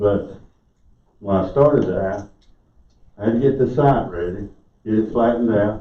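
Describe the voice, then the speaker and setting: A man with an American accent, fairly low in pitch, at a moderate pace with ordinary pitch variation, long, frequent pauses and audible room echo. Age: 60s. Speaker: resident speaking at public comment. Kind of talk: public comment at council meeting. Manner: halting.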